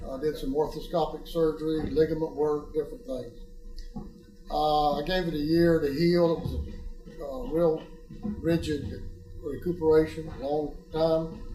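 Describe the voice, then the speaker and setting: A man's fairly high voice at a fairly slow pace, with fairly even intonation, long, frequent pauses, music in the background and audible room echo. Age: 70s. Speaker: patient. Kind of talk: testimony. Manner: halting, with frequent fillers.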